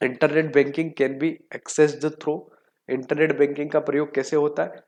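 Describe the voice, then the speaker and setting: A man's fairly high voice in flat, monotone intonation at a moderate pace. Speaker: exam coaching teacher. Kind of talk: online lecture. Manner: conversational, informal.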